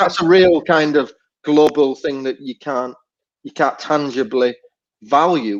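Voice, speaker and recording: A man's fairly high voice, fairly slow, with ordinary pitch variation, long and frequent pauses, and big swings in loudness. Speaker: music venue booker and moderator. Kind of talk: casual panel discussion.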